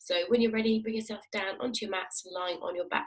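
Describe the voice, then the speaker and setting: Calm in tone, a woman speaks at a fairly quick pace. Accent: British. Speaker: fitness instructor. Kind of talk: guided exercise class. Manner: calm, instructive.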